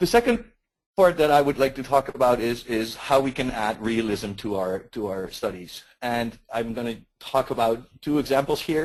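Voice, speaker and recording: A man's medium-pitched voice in a Dutch accent, with ordinary pitch variation and a moderate pace. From Netherlands. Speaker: market research consultant. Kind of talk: webinar presentation. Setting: webinar. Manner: hesitant, repeats words.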